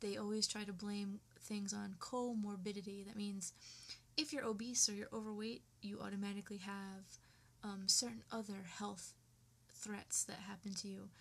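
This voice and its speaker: Somewhat breathy and fairly even in intonation, a woman speaks at a moderate pace. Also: medium pitch for a woman. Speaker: vlogger. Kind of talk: personal rant to webcam. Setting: webcam recording at home. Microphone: poor webcam audio.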